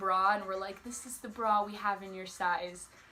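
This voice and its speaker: Noticeable background noise and a moderate pace. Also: woman. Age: young. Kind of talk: casual talk to camera.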